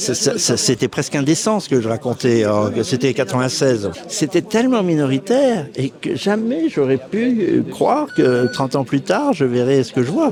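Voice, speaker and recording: Over noticeable background noise, a man with a fairly high pitch talks at a moderate pace, his pitch swinging very widely. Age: 60s. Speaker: author interviewed as spectator. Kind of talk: street interview. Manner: animated.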